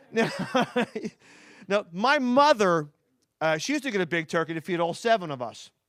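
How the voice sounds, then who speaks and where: In a Philadelphia accent, a man with a high voice speaks at a moderate pace with very wide pitch swings and long, frequent pauses, on a very clean recording with a silent background. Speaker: stand-up comedian. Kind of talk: stand-up. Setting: stage with audience.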